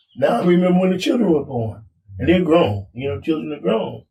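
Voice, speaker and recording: Very wide pitch swings mark this American-accented speaker, who talks at a very fast pace. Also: man. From California (San Diego, Oakland). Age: 80s. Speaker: podcast co-host, war veteran. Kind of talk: casual chat. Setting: outdoors on a front porch. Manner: halting, repeats words.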